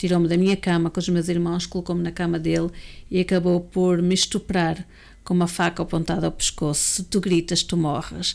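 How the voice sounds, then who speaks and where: A woman talks at a fairly quick pace in a European Portuguese accent, her pitch fairly low and her intonation flat and monotone. The recording is very clean, with a silent background. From Portugal. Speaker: educator and abuse survivor speaker. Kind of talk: interview testimony.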